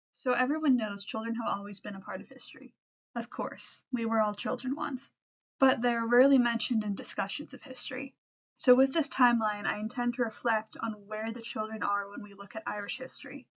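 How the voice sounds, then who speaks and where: An ordinary speaking voice with an American accent moves at a fairly quick pace, with fairly even intonation and big swings in loudness. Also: woman, fairly high pitch for a woman. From US Pacific Northwest, Seattle. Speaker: history student intern. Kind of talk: presentation. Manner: scripted, reading from notes.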